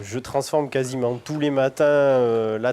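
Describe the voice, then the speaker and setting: Speaking very slowly, a man keeps his medium-pitched voice in fairly even intonation. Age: 30s. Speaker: cheese-making dairy farmer. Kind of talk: interview. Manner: halting, many hesitations.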